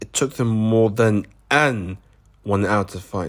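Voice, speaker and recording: With a British accent, a man of fairly low pitch shows ordinary pitch variation on a very clean recording with a silent background. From Britain. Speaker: animator reacting to own old show. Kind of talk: reaction commentary. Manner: casual, sarcastic.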